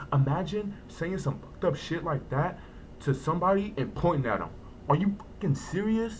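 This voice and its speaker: The recording carries audible room echo. A high-pitched man speaks at a moderate pace with ordinary pitch variation. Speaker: vlogger. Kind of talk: personal storytelling vlog. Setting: home, early morning. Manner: hesitant, repeats words.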